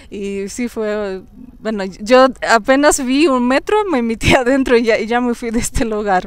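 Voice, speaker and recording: A woman with a Russian accent, high-pitched, with ordinary pitch variation, a fairly slow pace and a dry sound with no echo. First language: Russian (speaking Spanish). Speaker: YouTuber. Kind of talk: casual interview. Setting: outdoors in a park. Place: forest. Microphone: lapel.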